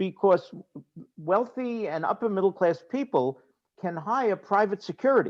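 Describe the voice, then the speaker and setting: A man with a Brooklyn accent, high pitch and lively intonation at a moderate pace, in a dry, close sound with no echo. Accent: New York (Brooklyn). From New York City (Brooklyn, Queens). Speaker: real estate lawyer/developer panelist. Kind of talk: panel discussion.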